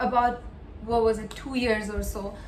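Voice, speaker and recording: With audible room echo around her, a woman speaks at a high pitch. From India, Mumbai. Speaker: student vlogger. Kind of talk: casual vlog monologue. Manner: animated.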